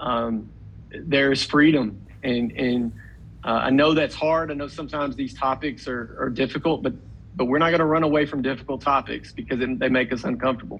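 With a Tennessee accent, the speaker talks at a fairly quick pace with fairly even intonation. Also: man, medium pitch for a man. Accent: Southern US (Tennessee). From Middle Tennessee, US South. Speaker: pregnancy center executive director. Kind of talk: interview.

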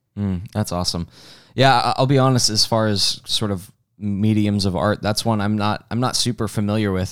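With a normal speaking voice, a man at a fairly low pitch moves at a fairly quick pace in a very clean recording with a silent background. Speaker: teaching pastor. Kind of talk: casual podcast chat and interview.

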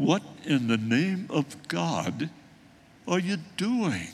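This is a put-on character voice with very wide pitch swings. The pace is very slow. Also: man, fairly high pitch for a man. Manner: scolding, exasperated.

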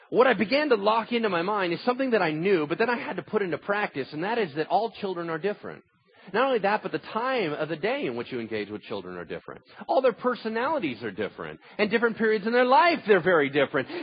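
High-pitched and very fast, a man speaks with very wide pitch swings. Noticeable background noise runs underneath. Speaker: pastor. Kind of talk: sermon. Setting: church.

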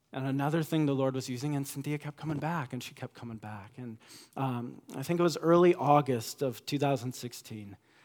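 A man with an ordinary speaking voice talks at a moderate pace with fairly high pitch and ordinary pitch variation, captured in a very clean recording with a silent background. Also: big swings in loudness. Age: 30s. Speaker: pastor. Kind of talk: sermon. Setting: church.

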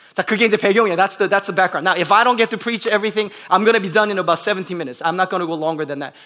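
With an American accent, a man speaks in a raised, projected voice that is high-pitched, bright and sharp, with an animated tone and ordinary pitch variation. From US Midwest, Bloomington, Indiana. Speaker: pastor. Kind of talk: sermon. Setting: church. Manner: code-switching between Korean and English.

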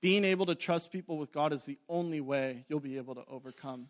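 A man's fairly high-pitched, an ordinary speaking voice, fairly quick, with ordinary pitch variation, on a very clean recording with a silent background. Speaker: preacher. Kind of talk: fervent sermon-closing prayer, earnest petition to God. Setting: church with congregation. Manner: fervent, pleading, earnest, with a rhythmic 'Lord' repeated.

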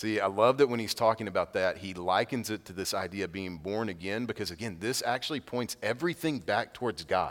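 Over a silent background in a very clean recording, a man talks at a fairly quick pace with hardly any pauses, his fairly low voice showing ordinary pitch variation, an ordinary speaking voice. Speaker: pastor. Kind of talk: sermon. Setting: church with congregation. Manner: casual, conversational.

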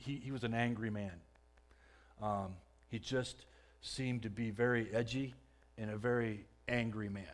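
Audible room echo surrounds a man speaking at a medium pitch. He keeps a moderate pace with ordinary pitch variation. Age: 40s. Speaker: lay speaker giving church testimony. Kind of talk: testimony. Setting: church stage with audience. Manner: halting.

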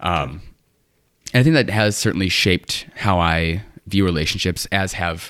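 The man's voice is very deep and low. The recording is very clean, with a silent background. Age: 20s. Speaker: pharmacist. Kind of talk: casual chat.

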